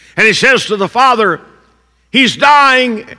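A man with an American accent raises and projects his extremely high voice. His tone is bright and sharp, with ordinary pitch variation. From southern Indiana, US. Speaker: pastor. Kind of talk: sermon.

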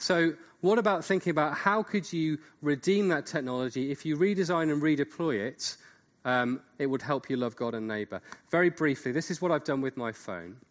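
A normal speaking voice carries lively intonation. The pace is moderate and the background quiet. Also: man. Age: 40s. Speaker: seminar speaker. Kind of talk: lecture.

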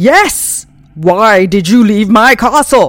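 A woman performs a put-on character voice at a fairly high pitch. Her delivery is very slow. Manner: menacing, insistent.

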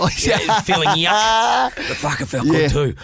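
A man with a New Zealand accent and lively intonation, amid noticeable background noise. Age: 30s. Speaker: podcast host.

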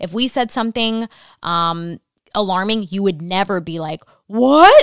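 A woman has a plain, everyday voice, medium in pitch with ordinary pitch variation. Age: 30s. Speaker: podcast host and TV home designer. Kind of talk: casual chat.

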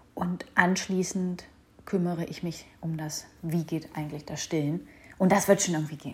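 A woman speaks at a moderate pace in a somewhat breathy voice with a fairly low pitch. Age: 30s. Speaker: podcast host, mother. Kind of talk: personal monologue podcast.

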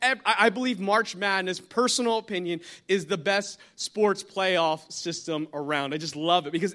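Raised and projected, a man's bright, sharp voice carries an American accent and an animated tone at a moderate pace on a very clean recording with a silent background. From New Jersey. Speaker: guest pastor. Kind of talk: sermon. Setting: church with congregation.

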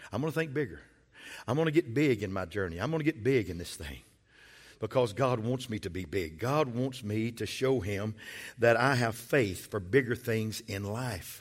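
With lively intonation and a medium pitch, a man talks at a moderate pace on a very clean recording with a silent background. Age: 60s. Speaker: pastor. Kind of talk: sermon. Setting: church. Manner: animated.

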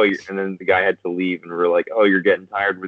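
A man's voice, fairly low in pitch. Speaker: comedy video creator. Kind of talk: casual chat. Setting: video call.

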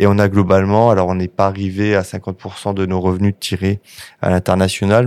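A man talks in a very deep, low pitch with a dark, mellow tone and monotone, flat intonation. The pace is fairly slow, and the sound is dry and close with no echo. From northern France. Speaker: software company CEO. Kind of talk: interview. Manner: halting.

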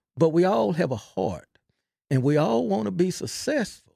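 Recorded dry and close with no echo, a man with a Texan accent talks at a fairly high pitch with very wide pitch swings. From Texas (Belton). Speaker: football coach. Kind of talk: interview. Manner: halting, repeats words; quiet, unassuming.

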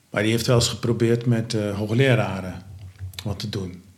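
A man's fairly low, somewhat breathy voice with fairly even intonation and audible room echo. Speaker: founder of a home care organisation. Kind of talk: interview. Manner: halting, many filler sounds.

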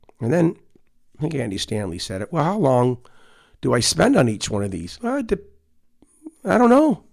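A man speaks at a medium pitch with vocal fry, very wide pitch swings, and long, frequent pauses. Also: moderate pace. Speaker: pastor and podcast host. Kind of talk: devotional talk. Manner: halting, many fillers.

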